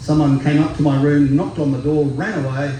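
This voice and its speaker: In an Australian accent, a man speaks at a moderate pace and medium pitch, with audible room echo and noticeable background noise. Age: 60s. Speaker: singer-songwriter. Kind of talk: stage banter between songs. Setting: festival stage with audience. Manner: relaxed with many fillers.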